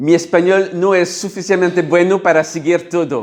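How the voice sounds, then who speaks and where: A man speaks at a moderate pace with a French accent and a high pitch. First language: French (speaking Spanish). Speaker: workshop facilitator. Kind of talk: workshop talk. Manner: halting.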